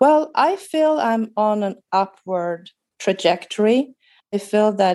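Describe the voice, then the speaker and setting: A woman with a Swedish accent speaks in a dark, mellow tone with lively intonation. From Sweden. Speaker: guest with chronic fatigue. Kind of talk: casual interview.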